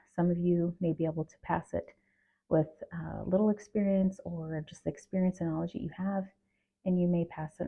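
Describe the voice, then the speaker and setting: A woman speaks quietly at a moderate pace. Her pitch is fairly low and her intonation is flat and monotone. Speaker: HR professional and video creator. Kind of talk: casual talk to camera. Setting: at home at night. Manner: halting with fillers.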